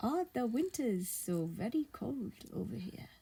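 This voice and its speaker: A woman puts on a character voice at a fairly high pitch, speaking at a fairly slow pace with very wide pitch swings. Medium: read story.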